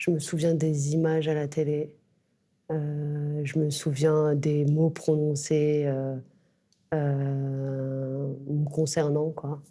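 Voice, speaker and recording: A woman with a very deep, low pitch talks very slowly in a monotone, flat intonation, leaving long, frequent pauses. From Clichy-sous-Bois, Seine-Saint-Denis, France. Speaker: writer. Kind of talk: interview. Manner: hesitant, many fillers.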